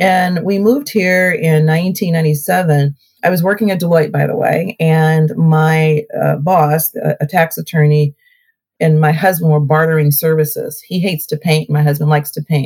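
A somewhat breathy woman's voice, very deep and low, moves along at a moderate pace. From Ohio (Cleveland area), born in Alabama. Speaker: mayor. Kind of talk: interview. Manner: animated.

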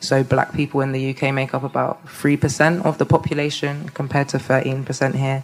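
Speaking with a London accent, a woman with a very deep, low pitch talks at a moderate pace in a monotone, flat intonation with hardly any pauses over noticeable background noise. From London, England. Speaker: community organizer. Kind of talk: live panel discussion. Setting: stage with audience.

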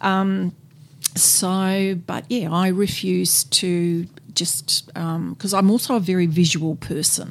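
A woman speaks very slowly in a fairly low voice, with ordinary pitch variation. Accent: Australian. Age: 60s. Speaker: person with terminal cancer. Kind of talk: interview.

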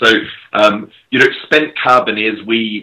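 A man's medium-pitched voice with an Australian accent, at a fairly slow pace. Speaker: crypto startup executive. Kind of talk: casual chat.

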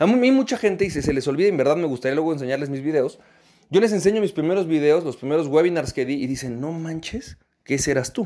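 Recorded very cleanly against a silent background, a man talks very fast with a dark, mellow tone, fairly high pitch and lively intonation. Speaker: podcast host and business coach. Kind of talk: motivational podcast monologue.

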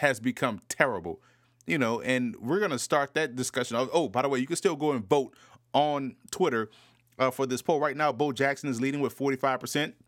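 Recorded very cleanly against a silent background, a man with an American accent talks at a moderate pace in an ordinary speaking voice, medium in pitch with ordinary pitch variation. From US South, New Orleans. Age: 30s. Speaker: football analyst podcast host. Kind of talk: solo podcast commentary.

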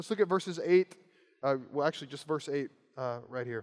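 Here a man speaks with a Kentucky accent. His intonation is lively. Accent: Kentucky (US South). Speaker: preacher. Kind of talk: sermon.

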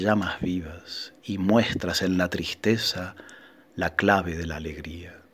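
A man speaks very slowly in a solemn tone. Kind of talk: sermon in verse, a rhymed Holy Thursday proclamation delivered as a sacred poem. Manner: intensely devout, vehement, addressing the Lord and the moon directly.

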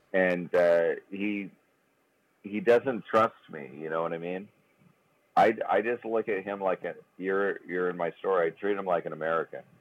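A man's very deep, low voice at a moderate pace, with ordinary pitch variation, long, frequent pauses and a dry, close sound with no echo. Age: 40s. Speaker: golf club sales rep, podcast co-host. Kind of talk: casual chat. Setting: phone call. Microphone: sounds gargly on the phone.

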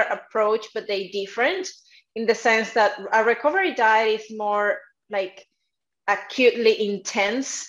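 This woman speaks in a Spanish accent at a fairly slow pace. Her voice sits fairly high, with lively intonation. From South America. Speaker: dietitian and nutrition coach. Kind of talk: interview. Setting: video call.

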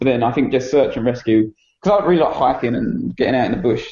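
Very fast speech with an Essex accent. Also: man. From England, Essex. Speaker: dog trainer. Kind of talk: casual chat.

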